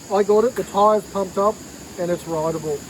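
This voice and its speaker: A man with an Australian accent talks at a high pitch and a fairly quick pace, with ordinary pitch variation. Noticeable background noise can be heard. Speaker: vintage goods dealer. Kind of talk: casual show-and-tell video. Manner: loud.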